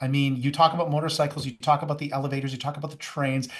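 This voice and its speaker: A man speaks at a very fast pace in a fairly high, somewhat breathy voice. His tone is enthusiastic. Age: 60s. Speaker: youth and young adult ministry pastor. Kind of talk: podcast interview.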